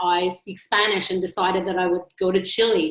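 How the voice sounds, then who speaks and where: With a Canadian accent, a medium-pitched woman speaks at a moderate pace amid noticeable background noise and audible room echo. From Montreal, Canada. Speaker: agency strategy executive, panelist. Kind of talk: panel discussion.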